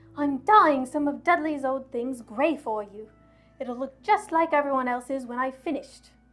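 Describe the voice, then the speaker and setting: A woman's put-on character voice, high-pitched and shrill, at a moderate pace with ordinary pitch variation and big swings in loudness, with faint music in the background. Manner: shrill, anxious, quivering.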